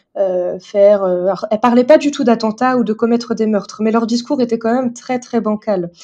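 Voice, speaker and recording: A woman's dark, mellow voice sits at a fairly high pitch, with fairly even intonation and hardly any pauses. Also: moderate pace. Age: 30s. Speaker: theologian and teacher. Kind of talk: interview.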